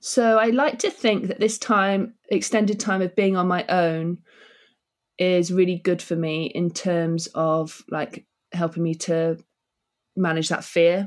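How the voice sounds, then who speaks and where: A fairly low-pitched woman's voice in an English accent. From England (Devon, North Yorkshire). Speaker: writer. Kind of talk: casual chat. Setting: video call.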